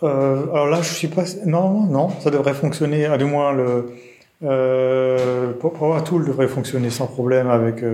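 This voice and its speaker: A man's medium-pitched voice at a very slow pace, fairly even in intonation, with audible room echo and noticeable background noise. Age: 40s. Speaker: mathematician and software developer. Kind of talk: technical interview discussion.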